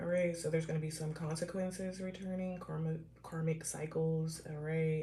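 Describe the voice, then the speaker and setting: Amid noticeable background noise and audible room echo, a woman speaks with fairly even intonation and a very deep, low pitch. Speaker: tarot reader. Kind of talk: live tarot reading. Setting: livestream.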